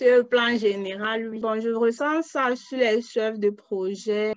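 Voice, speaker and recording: This woman has a fairly high pitch. Her intonation stays fairly even. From Cameroon. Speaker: crowd worker, student. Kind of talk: interview.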